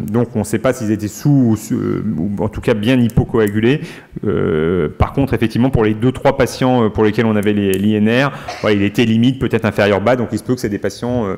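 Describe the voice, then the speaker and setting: Despite noticeable background noise, a man of fairly low pitch keeps a fairly quick pace with ordinary pitch variation. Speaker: medical professor presenting research. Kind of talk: conference Q&A discussion. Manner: fast; hesitant, many fillers.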